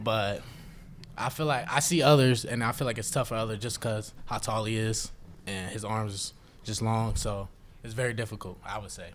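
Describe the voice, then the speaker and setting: This man speaks at a moderate pace in a medium pitch with fairly even intonation. Audible room echo surrounds his voice. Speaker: college basketball player. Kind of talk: press conference.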